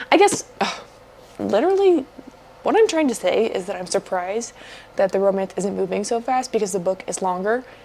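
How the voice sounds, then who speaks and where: Against noticeable background noise, a woman speaks at a medium pitch and a fairly quick pace. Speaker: book vlogger. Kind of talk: casual reading vlog talk.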